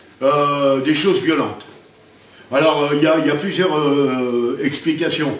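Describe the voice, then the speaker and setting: Speaking at a very slow pace, a man with a fairly high voice is heard over noticeable background noise, with audible room echo. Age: 60s. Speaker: martial arts grandmaster. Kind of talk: interview. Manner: halting.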